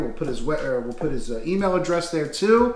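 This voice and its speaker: A man speaks at a moderate pace over light background noise, with audible room echo. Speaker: interview host. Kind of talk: casual interview chat. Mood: warm, grateful, smiling. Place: home room. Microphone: camera far.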